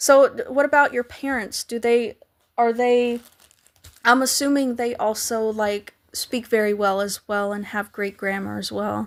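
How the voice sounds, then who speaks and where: A woman speaks at a fairly slow pace, her fairly high pitch held in fairly even intonation. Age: 30s. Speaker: artist live streamer. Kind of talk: casual live stream chat with viewers. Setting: live stream. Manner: halting, frequent restarts.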